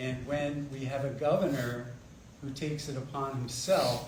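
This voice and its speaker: Soft-spoken and at a very slow pace, a man talks with audible room echo around him. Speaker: political candidate. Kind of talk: candidate forum answers. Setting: community meeting with microphone, streamed online.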